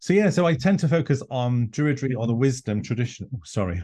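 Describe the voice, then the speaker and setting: Speaking at a very fast pace in a North Welsh accent, the voice has a dark, mellow tone and sounds somewhat breathy. Its intonation is lively, and the background is quiet. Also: man. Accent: Welsh (North Wales). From North Wales, Anglesey. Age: 50s. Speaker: druid leader and author. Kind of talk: interview conversation.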